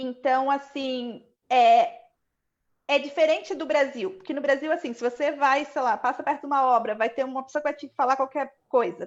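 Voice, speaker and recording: With a Brazilian accent, a woman talks at a moderate pace. Her pitch is high, with ordinary variation. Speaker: economist, panel guest. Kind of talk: live online panel chat.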